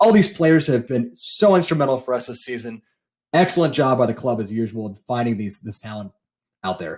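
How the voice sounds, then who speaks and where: A man talks at a fairly quick pace with an American accent. His voice is somewhat breathy, with lively intonation. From United States. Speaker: football podcaster and fan. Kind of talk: recorded fan opinion segment.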